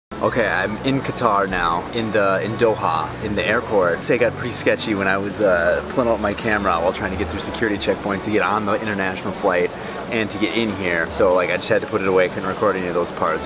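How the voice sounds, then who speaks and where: Music plays in the background as the speaker talks at a very fast pace with hardly any pauses. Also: man. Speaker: travel vlogger. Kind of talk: casual vlog chat. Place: hall. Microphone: phone near.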